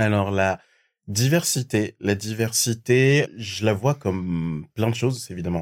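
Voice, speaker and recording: In a very clean recording with a silent background, a man with fairly low pitch talks very slowly, his pitch varying in an ordinary way. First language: not French (speaking French). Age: 20s. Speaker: recruiter. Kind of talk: interview conversation. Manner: hesitant, many fillers.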